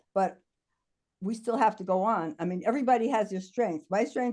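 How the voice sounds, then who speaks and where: Quick-paced, a woman speaks with a fairly high pitch and a dark, mellow tone. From New York City (the Bronx). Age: 70s. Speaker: diversity and inclusion consultant. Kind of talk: video call town hall contribution.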